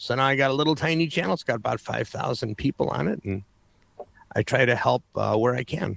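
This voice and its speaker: Vocal fry runs through a man's medium-pitched voice as his intonation stays lively. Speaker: studio software expert and educator. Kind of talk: casual chat.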